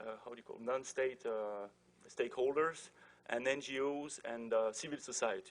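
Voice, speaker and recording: With a French accent, a man speaks at a moderate pace and medium pitch, keeping his intonation fairly even. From France. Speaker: diplomat moderating a panel. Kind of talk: panel introduction. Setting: conference with audience. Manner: hesitant, many fillers.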